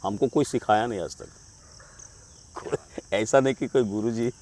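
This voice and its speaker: Dry and close with no echo, a man's voice sits at a medium pitch with fairly even intonation. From Jharkhand, India. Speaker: amateur musician, flute player. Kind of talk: interview answer.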